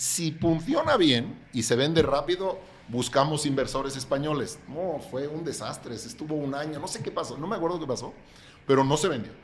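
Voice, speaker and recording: A man speaks at a fairly high pitch with ordinary pitch variation. His moderate pace is heard with audible room echo. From Catalonia, Spain. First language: Catalan (speaking Spanish). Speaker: real estate developer. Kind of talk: podcast interview.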